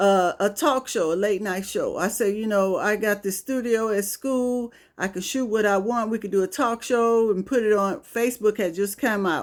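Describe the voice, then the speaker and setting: A woman speaks with hardly any pauses, her pitch fairly high and its variation ordinary. The recording is very clean, with a silent background. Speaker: comedian. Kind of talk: storytelling monologue. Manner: slow; casual, conversational.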